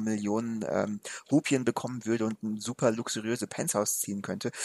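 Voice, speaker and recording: Recorded very cleanly against a silent background, a man's medium-pitched voice sounds dry and close, with no echo. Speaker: film podcast co-host. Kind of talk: casual film discussion. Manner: slow and deliberate.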